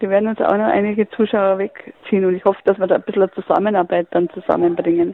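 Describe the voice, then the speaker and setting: Over noticeable background noise, a woman talks fairly quickly at a medium pitch with ordinary pitch variation. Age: 70s. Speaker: retired basketball club manager. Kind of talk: interview. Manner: halting, many fillers.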